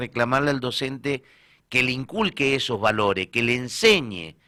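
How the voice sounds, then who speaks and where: Speaking with an Argentine accent, a man at medium pitch talks at a moderate pace in a bright, sharp tone. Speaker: radio co-host. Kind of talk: radio panel discussion.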